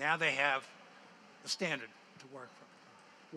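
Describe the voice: Bright, sharp male voice at a moderate pace.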